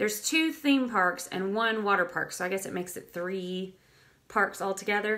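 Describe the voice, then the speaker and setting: Bright and sharp in tone, a woman's voice moves at a fairly slow pace with ordinary pitch variation. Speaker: travel blogger. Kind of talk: casual live-stream talk. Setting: live video stream. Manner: chatty, with filler words.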